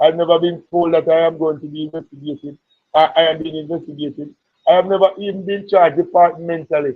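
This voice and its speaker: Loud and at a very fast pace, a man speaks with a high pitch. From Jamaica. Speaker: politician and entrepreneur. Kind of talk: interview.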